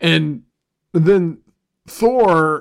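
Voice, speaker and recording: A man with an enthusiastic tone and lively intonation, in a very clean recording with a silent background. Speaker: podcast host and music writer. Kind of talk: casual solo podcast monologue, music review. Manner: casual, rambling, profane, enthusiastic; filler words, self-deprecating, loose.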